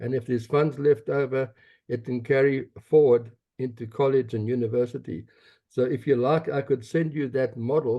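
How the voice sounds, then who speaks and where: Fairly even intonation and a moderate pace come with this South African accent. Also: man, medium pitch for a man. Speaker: advocacy group leader. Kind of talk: meeting comment.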